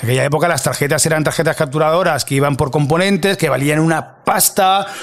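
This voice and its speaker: With ordinary pitch variation, a man talks in a fairly high voice as noticeable background noise carries on. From Catalonia, Spain (Mataró). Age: 40s. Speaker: video producer. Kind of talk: interview. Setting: studio. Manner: animated.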